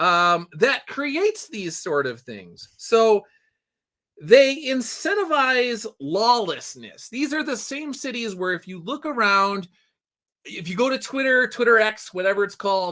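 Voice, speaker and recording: A man speaks at a fairly slow pace in a raised, projected voice that is high-pitched for a man, with a bright, sharp tone, lively intonation and big swings in loudness. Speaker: livestream host and story writer. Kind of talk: casual live news commentary. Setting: home livestream. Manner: casual, conversational with fillers.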